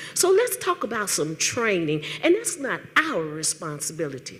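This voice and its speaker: There is noticeable background noise behind this woman's voice. Her pitch swings very widely. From Tennessee, Nashville. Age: 60s. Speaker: retired teacher and political activist. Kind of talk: public comment at town hall. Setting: town hall meeting with audience. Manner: animated.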